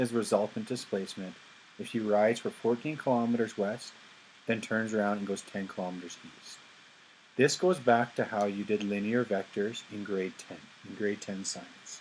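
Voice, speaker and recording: A man with a normal speaking voice and medium pitch talks at a moderate pace, his loudness swinging widely. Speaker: high school physics teacher. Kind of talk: lecture.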